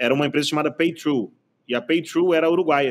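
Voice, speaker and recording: This man talks at a fairly quick pace. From Bahia, Brazil. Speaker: tech innovation executive. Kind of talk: casual podcast interview. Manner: animated.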